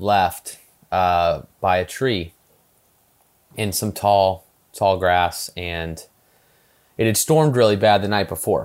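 A man talks very slowly at a fairly low pitch with ordinary pitch variation and long, frequent pauses. The recording is very clean, with a silent background. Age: 30s. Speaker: golf filmmaker and golf club founder. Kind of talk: casual chat. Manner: halting, many fillers and repeated words.

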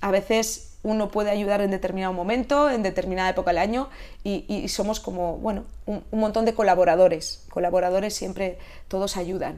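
A woman talks at a very fast pace with a medium pitch. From Catalonia, Spain. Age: 50s. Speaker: Pilates instructor. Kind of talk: interview.

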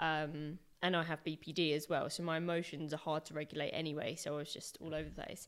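A woman speaks with a very deep, low pitch in a monotone, flat delivery at a fairly quick pace. The recording is very clean, with a silent background. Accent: English. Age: 30s. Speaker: activist. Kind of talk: casual interview.

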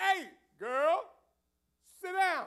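An extremely high-pitched, put-on character voice. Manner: commanding, authoritative.

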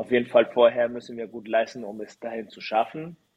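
Speaking with a Spanish accent, a man talks at a medium pitch. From Chile. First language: Spanish (speaking German). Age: 30s. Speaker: volleyball player. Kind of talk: interview. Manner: halting.

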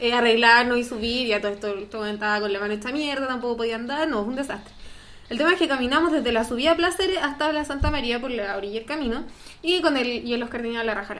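Over audible room echo, a woman with a Chilean accent talks at a very fast pace in a high pitch with ordinary pitch variation. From northern Chile. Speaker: podcast co-host. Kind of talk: casual chat.

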